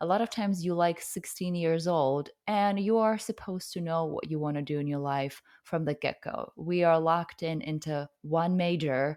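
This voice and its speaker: A Russian accent with hardly any pauses, on a very clean recording with a silent background. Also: woman, fairly low pitch for a woman, ordinary pitch variation, moderate pace. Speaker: hypnotherapist and coach. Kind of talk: interview answer.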